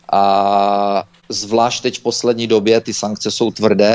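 A man speaks in a flat monotone at a fairly low pitch. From Czechia. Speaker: Czech emigrant recounting travel to Belarus. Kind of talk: interview.

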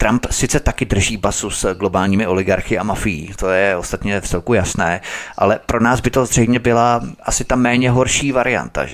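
A man speaks in an ordinary speaking voice at a fairly low pitch and a moderate pace. His pitch variation is ordinary. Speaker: radio host. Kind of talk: talk radio hosting. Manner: formal.

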